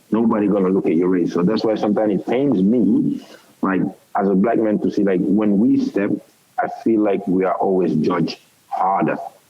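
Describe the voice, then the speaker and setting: A man with a fairly low pitch talks at a fairly quick pace, his loudness very even. Noticeable background noise runs underneath. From Europe. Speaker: football head coach, host. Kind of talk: casual interview chat.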